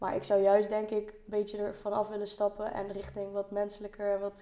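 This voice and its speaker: A woman speaks at a moderate pace and a medium pitch, with noticeable background noise behind her. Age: 20s. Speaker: university student. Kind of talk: casual chat.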